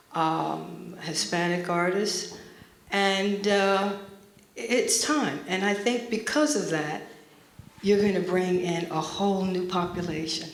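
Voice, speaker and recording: The speech comes very slowly with an American accent and ordinary pitch variation, with audible room echo around it. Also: woman, medium pitch for a woman. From US Northeast (Montclair, New Jersey). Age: 60s. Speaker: artist. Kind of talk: panel talk.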